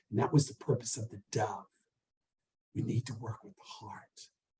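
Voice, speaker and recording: A man's somewhat breathy voice, dark and mellow in tone, in an American accent. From US South. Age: 70s. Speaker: artist and university professor. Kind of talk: interview.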